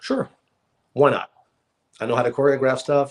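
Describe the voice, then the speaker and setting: The voice carries an American accent. Its pace is fairly quick. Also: man. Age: 50s. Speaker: actor. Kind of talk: casual interview chat. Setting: live podcast.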